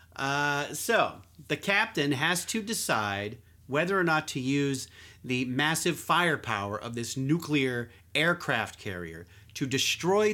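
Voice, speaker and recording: Bright, sharp, and lively in intonation, the voice moves at a very slow pace. The recording is very clean, with a silent background. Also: man. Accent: American. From Philadelphia. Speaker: podcast host, magazine writer. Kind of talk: casual chat.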